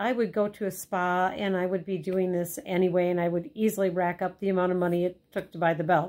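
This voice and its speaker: A woman talks at a fairly quick pace over a quiet background. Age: 60s. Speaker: customer giving product testimonial; product reviewer. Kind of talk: customer testimonial to camera. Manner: casual, hesitant. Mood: calm, positive. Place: home room. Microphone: earbuds.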